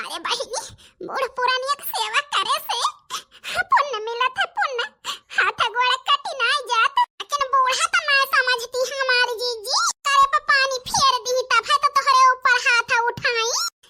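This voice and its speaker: A woman uses a cartoonish character voice at an extremely high pitch. She goes at a fairly slow pace, and the sound is dry and close with no echo. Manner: plaintive, chatty.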